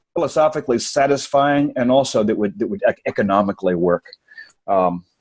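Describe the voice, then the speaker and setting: A man at a medium pitch and fairly quick pace, with very wide pitch swings and a dry, close sound with no echo. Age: 60s. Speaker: best-selling author. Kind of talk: interview. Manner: halting, many repeated words.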